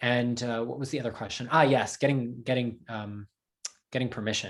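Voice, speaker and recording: Here a man talks with a New Jersey accent at medium pitch. His pace is moderate and his intonation fairly even. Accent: American, New Jersey. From US Northeast, New Jersey. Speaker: translator. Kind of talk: Q&A talk. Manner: halting, many fillers.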